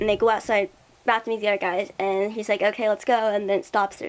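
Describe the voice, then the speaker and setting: The speaker is a woman with a medium pitch. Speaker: gaming streamer. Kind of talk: casual commentary over game art. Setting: background music playing. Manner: fast.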